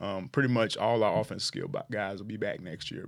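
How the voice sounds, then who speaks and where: The man's speech carries vocal fry and ordinary pitch variation, with an American accent. The recording is very clean, with a silent background. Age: 40s. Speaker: high school football coach. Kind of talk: casual interview.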